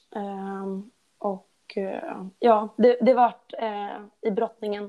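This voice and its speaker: A woman's ordinary speaking voice with fairly even intonation. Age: 20s. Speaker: after-school teacher and fitness enthusiast. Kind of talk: casual interview.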